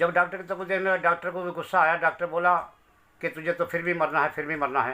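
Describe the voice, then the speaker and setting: Fairly even intonation marks a man's high-pitched voice with a bright, sharp tone. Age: 60s. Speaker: bereaved father. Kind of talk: testimony. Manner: emotional.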